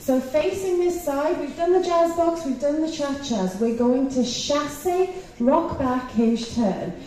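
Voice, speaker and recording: There is audible room echo and light background noise as a woman speaks at a fairly slow pace in a high pitch with lively intonation. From England. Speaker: line dance instructor. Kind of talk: dance teaching workshop. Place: hall.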